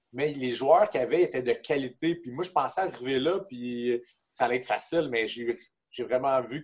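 A man speaks at a medium pitch. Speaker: hockey player and kinesiologist. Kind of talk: casual interview.

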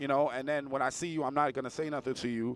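Speaking at a very fast pace with a New York accent, the voice stays monotone with flat intonation. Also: man. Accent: New York City (Bronx). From New York City, the Bronx. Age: 30s. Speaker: bike race organizer. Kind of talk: casual chat. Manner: casual, halting with fillers.

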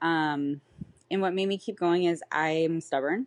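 A woman's fairly low-pitched voice with an American accent at a moderate pace, a normal speaking voice. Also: quiet background. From California. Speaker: bikini pro competitor and coach. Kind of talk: casual interview chat.

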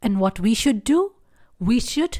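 In a very clean recording with a silent background and a dry, close sound free of echo, a woman speaks at a fairly slow pace with a dark, mellow tone and lively intonation. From India. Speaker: spiritual podcast host. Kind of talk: solo podcast talk.

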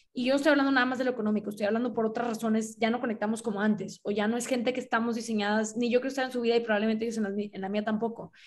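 A woman with a fairly high pitch talks at a very fast pace with hardly any pauses, sounding somewhat breathy and monotone. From Mexico, Monterrey. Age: 20s. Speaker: podcast host, writer and illustrator. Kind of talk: casual chat.

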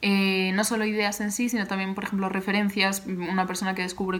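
A woman speaks fairly quickly at medium pitch. Her intonation is monotone and flat. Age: 20s. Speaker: graphic designer and podcast host. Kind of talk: solo Q&A podcast, casual.

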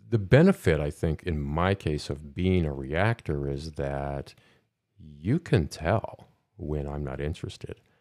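A man with a Midwestern American accent at a very slow pace, ordinary pitch variation, on a very clean recording with a silent background. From US Midwest. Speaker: podcast host. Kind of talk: casual interview. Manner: halting.

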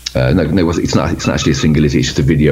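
Over noticeable background noise and audible room echo, a man with a Birmingham accent talks at a very fast pace in a very deep, low voice with ordinary pitch variation. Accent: Birmingham (Brummie) English. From Birmingham, England. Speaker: metal band member. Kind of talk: casual interview.

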